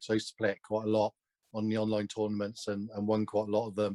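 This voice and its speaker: In a Somerset accent, a man speaks over a dry, close sound with no echo. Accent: Somerset twang, south-west English. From Gloucestershire, south-west England. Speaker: online snooker video game champion and streamer. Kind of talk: casual interview chat.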